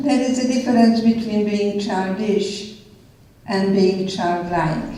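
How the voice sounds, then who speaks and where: A woman speaks at a very slow pace with ordinary pitch variation, amid noticeable background noise and audible room echo. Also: medium pitch for a woman. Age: 80s+. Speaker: therapist and author. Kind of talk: public conversation.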